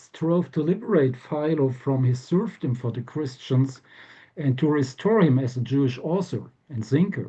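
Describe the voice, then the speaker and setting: At a moderate pace, a man with a fairly high pitch speaks in a somewhat breathy voice with a dark, mellow tone. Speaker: professor. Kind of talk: lecture. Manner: hesitant with fillers; reading from manuscript.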